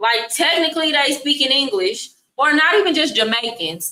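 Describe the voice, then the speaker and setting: Speaking in an American accent, a woman has a bright, sharp tone and an animated delivery. Her pace is fairly slow, and her pitch swings very widely. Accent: American accent, noticed by locals. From Texas. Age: 30s. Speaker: travel and relocation streamer. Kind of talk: live stream chat. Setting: live stream. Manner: casual, animated.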